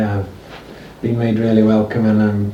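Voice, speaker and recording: Someone with a northern English accent talks at a fairly quick pace over noticeable background noise and audible room echo. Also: man. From northern England, Cheshire. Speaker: amateur interviewer on a music tour. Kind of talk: recorded interview and spoken message to listeners. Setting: home of the interviewees. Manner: halting, many fillers. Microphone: old amateur recording, poor quality.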